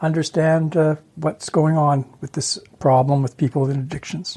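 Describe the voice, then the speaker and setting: A man with a Canadian accent speaks at a moderate pace in a fairly high, somewhat breathy voice with a dark, mellow tone. His intonation stays fairly even. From Ontario, Canada. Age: 60s. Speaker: interview guest. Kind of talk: personal testimony.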